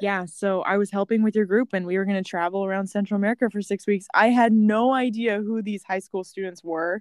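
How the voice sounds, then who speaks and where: A normal speaking voice moves at a fairly quick pace with fairly even intonation, recorded very cleanly against a silent background with a dry, close sound and no echo. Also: woman, medium pitch for a woman. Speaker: podcast host. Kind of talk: casual interview chat.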